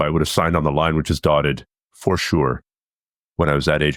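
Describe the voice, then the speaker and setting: A man with a Canadian accent, recorded dry and close with no echo, in a very clean recording with a silent background. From Canada. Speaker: martial arts instructor and firefighter. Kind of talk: podcast interview.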